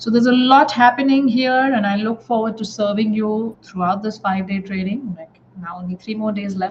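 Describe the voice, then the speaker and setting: A fairly high-pitched woman at a moderate pace, hardly any pauses, ordinary pitch variation, big swings in loudness and noticeable background noise. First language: not English. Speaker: life coach trainer. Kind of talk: live online class. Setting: live stream with comments. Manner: halting, many filler words.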